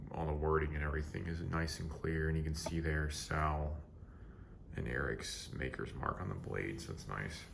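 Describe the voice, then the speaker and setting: A man with a very deep, low voice speaks quietly at a moderate pace and with fairly even intonation, with audible room echo and noticeable background noise. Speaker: knife reviewer. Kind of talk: product review. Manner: quiet, keeping voice down; casual, filler-heavy.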